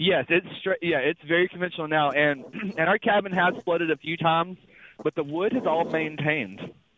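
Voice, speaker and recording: With a Mississippi accent, a man talks at a fairly quick pace in a high pitch, using ordinary pitch variation and very even loudness. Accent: Southern US (Mississippi). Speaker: truck driver, caller. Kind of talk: call-in question.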